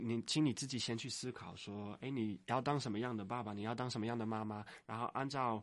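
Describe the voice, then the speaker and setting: Speaking in a Dutch accent, a man has a medium-pitched voice and fairly even intonation. His pace is moderate, and the background is quiet. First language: Dutch (speaking Chinese). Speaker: university lecturer and author. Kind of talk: interview. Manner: halting.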